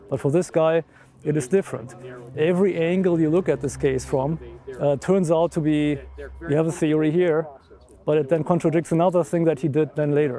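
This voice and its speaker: A man with a German accent speaks at a fairly quick pace and a fairly high pitch, with long, frequent pauses and fairly even intonation. His loudness stays very even, and music plays in the background. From Germany. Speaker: amateur investigator. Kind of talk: documentary interview.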